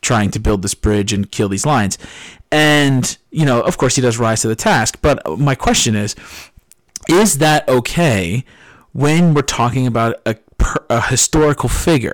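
An unremarkable speaking voice from a man with an American accent, medium in pitch, lively in intonation, fairly slow, with a dry, close sound and no echo. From New Jersey, US Northeast. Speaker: podcast co-host, English teacher. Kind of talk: casual chat.

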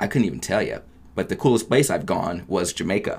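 A man with a Midwestern American accent talks at a moderate pace in a fairly low voice. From US Midwest (Oberlin, Ohio). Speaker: radio phone screener. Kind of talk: interview. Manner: upbeat, positive.

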